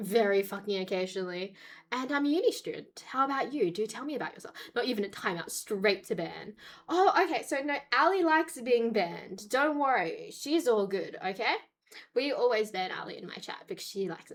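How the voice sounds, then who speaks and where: With an Australian accent, a woman speaks at a high pitch and a fairly quick pace, with very wide pitch swings and big swings in loudness. The recording is very clean, with a silent background. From grew up in Australia. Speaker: just chatting streamer; university student.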